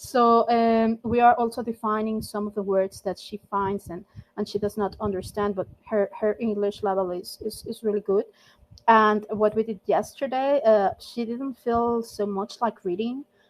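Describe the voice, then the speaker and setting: Her voice fairly high in pitch, a woman speaks with a strong non-native accent. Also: fairly even intonation, moderate pace. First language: not English. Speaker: volunteer language mentor. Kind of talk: casual group meeting chat. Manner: halting, many fillers.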